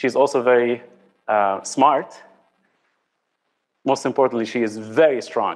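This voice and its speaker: Long, frequent pauses break up a man's speech. His medium-pitched voice keeps a fairly even intonation. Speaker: venture capital general partner. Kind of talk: conference presentation. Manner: fast; loud.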